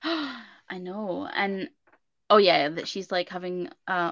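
Against a quiet background, a woman speaks in a Scottish accent at a medium pitch with ordinary pitch variation. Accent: Scottish, similar to co-host's. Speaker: podcast co-host. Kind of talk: casual chat. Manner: animated.

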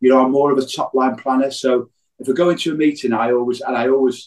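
A man speaks at a fairly quick pace with an English accent. His pitch is medium and his intonation fairly even. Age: 50s. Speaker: business owner. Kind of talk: casual chat.

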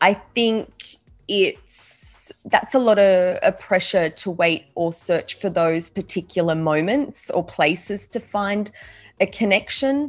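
A woman speaks very slowly at a medium pitch, her intonation lively. The background is quiet. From Australia. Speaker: podcast guest. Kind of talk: interview.

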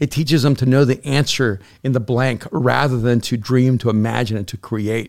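The speaker is a man with a medium pitch. He keeps a moderate pace and fairly even intonation. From El Salvador, raised in US. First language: Spanish. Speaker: pastor and author. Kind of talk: casual chat.

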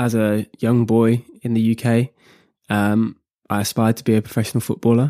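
At a fairly slow pace, a man speaks in a medium pitch, in a dry, close sound with no echo and a very clean recording with a silent background. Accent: British. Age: 20s. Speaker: co-founder of a men's mental health social initiative. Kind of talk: interview. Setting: studio.

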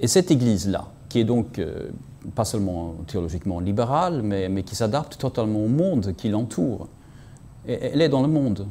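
Speaking with a Swedish accent, a man has a fairly low pitch and a dark, mellow tone. His intonation is lively and his pace moderate. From Sweden. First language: Swedish (speaking French). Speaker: journalist and essayist. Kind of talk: interview analysis. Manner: halting, many repetitions and hesitations.

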